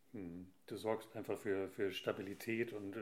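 A man speaks with fairly even intonation. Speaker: podcast host. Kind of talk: casual interview.

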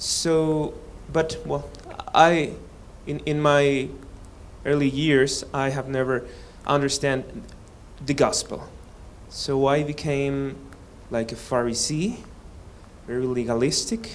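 In a Spanish accent, a man with a fairly high pitch and ordinary pitch variation speaks at a very slow pace with long, frequent pauses, audible room echo around him. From Mexico. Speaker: seminary student. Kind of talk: testimony. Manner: halting.

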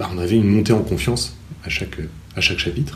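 A man with a fairly low pitch speaks at a very fast pace. His voice is somewhat breathy, with audible room echo. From France, Normandy (Cherbourg). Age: 30s. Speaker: teacher and novelist. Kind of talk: interview. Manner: halting.

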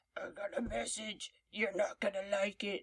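A put-on character voice, gravelly and raspy, sits at a fairly high pitch. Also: moderate pace. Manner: ominous, threatening.

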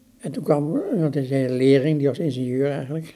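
A man's fairly high voice with a dark, mellow tone at a fairly quick pace. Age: 70s. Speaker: museum director and exhibition curator. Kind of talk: interview about art history. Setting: in his living room. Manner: halting.

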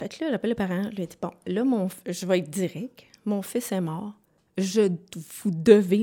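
A woman speaks at a medium pitch and moderate pace, with ordinary pitch variation and a dark, mellow tone. The recording is very clean, with a silent background. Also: big swings in loudness. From Quebec, Sherbrooke. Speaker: bereaved mother, daycare operator. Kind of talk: testimony.

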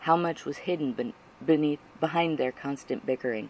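With an intense, solemn tone, a man speaks in a fairly high pitch, his intonation lively. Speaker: audiobook narrator. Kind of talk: dramatic audiobook narration of fan fiction, read aloud with tense, emotional buildup. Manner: intense, earnest, solemn pacing with dramatic weight.

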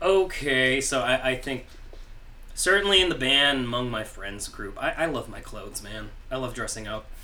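A man at a moderate pace with big swings in loudness, audible room echo and noticeable background noise. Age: 30s. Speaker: musician. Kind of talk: casual chat. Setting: studio.

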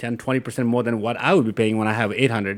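A man with a Nepali accent speaks at a medium pitch with ordinary pitch variation. The recording is very clean, with a silent background. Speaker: software engineer and company co-founder. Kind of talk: casual interview.

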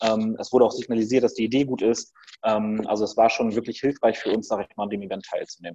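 With big swings in loudness, a man at medium pitch talks at a very fast pace in a dark, mellow tone. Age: 30s. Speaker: startup founder. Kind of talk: interview.

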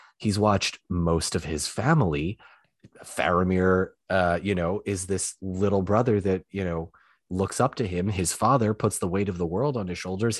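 A man speaks in a very deep, low voice. The background is quiet. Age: 20s. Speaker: former journalist and online creator. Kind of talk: casual chat.

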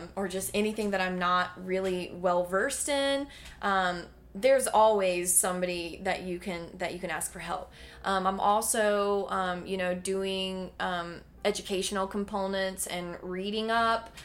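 In a Southern US accent, a woman talks at a fairly slow pace and a medium pitch with fairly even intonation. Audible room echo is present. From North Carolina, Davie County. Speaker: health coach. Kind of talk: casual interview chat.

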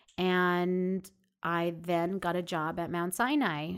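A woman with a New York accent speaks at a fairly low pitch. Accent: New York American. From Long Island, New York. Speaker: family physician. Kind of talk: interview.

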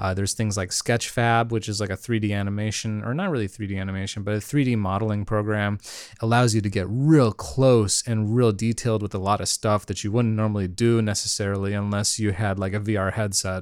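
A plain, everyday voice moves at a fairly quick pace with hardly any pauses and fairly even intonation. The recording is very clean, with a silent background. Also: man, fairly low pitch for a man. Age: 30s. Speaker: solo podcast host. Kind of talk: casual monologue. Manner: laughs often.

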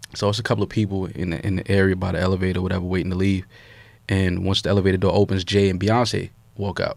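Very deep, low man's voice in a New York accent, very fast and flat in a monotone. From New York City, Harlem. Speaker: podcast host. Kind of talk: casual chat.

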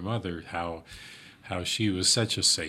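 A man with an Upper Midwest accent talks at a very deep, low pitch. His tone is bright and sharp. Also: very clean recording, silent background. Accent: Upper Midwest American. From rural South Dakota. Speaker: financial advisor. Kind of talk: casual chat.

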